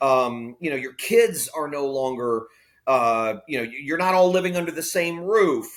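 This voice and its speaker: A man with an American accent talks fairly slowly in a fairly high voice and lively intonation. He has an ordinary speaking voice. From Florida. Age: 50s. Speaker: pastor. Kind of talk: interview conversation. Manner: candid, conversational.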